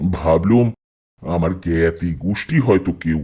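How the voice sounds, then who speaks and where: A put-on character voice from a man, delivered fairly slowly. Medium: audio drama. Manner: vain, rambling, matter-of-fact.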